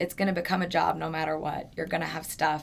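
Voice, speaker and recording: A woman speaks at a very fast pace with an American accent. Her voice is very deep and low, with vocal fry. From New York. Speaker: fitness trainer and Pilates teacher. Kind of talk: casual interview chat.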